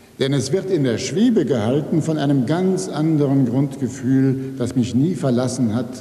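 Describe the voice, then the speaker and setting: Speaking at a fairly slow pace, a man is heard with audible room echo. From Rhineland, Germany (Neuss); Rhineland, Germany. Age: 60s. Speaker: writer. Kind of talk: acceptance speech. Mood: calm, reflective. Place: hall. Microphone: podium.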